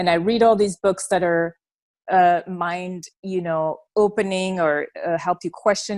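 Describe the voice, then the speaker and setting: A woman's voice in a French accent, monotone and flat, with a dry, close sound with no echo and a very clean recording over a silent background. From Belgium. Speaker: former church member sharing her story. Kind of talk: interview testimony.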